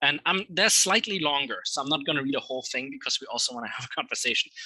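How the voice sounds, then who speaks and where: A man speaks with a German accent in a fairly high pitch. His tone is bright and sharp, and the sound is dry and close with no echo. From Germany. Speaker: literature scholar. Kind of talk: lecture. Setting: talk with live audience. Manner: hesitant with fillers.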